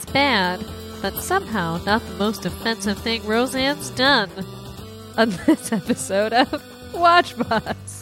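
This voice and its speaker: Over background music, a nasal, put-on character voice speaks at a fairly slow pace. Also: woman, fairly high pitch for a woman. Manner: pinched, blocked-nose sound.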